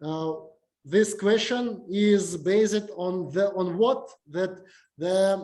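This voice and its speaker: Delivered at a very slow pace, the speech carries a Russian accent. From Uzbekistan. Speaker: university lecturer. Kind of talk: lecture. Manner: halting, many fillers.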